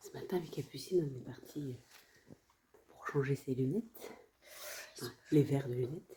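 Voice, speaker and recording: Speaking at a moderate pace with long, frequent pauses, a woman with a very deep, low pitch shows ordinary pitch variation and big swings in loudness. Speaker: family travel vlogger. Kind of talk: casual vlog narration. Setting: indoors at a work premises. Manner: speaking quietly.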